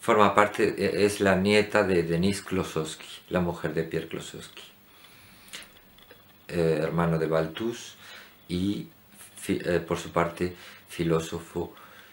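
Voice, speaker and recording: A man's very deep, low voice at a very slow pace, broken by long, frequent pauses. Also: fairly even intonation. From Andalusia, Spain. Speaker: painter. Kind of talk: casual talk to camera. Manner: hesitant.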